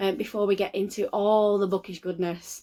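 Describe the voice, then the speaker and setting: With a Lancashire accent, a woman talks at a moderate pace in a dark, mellow tone. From northern England, Lancashire. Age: 30s. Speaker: book vlogger. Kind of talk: casual vlog talk to camera. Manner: hesitant, many filler ums.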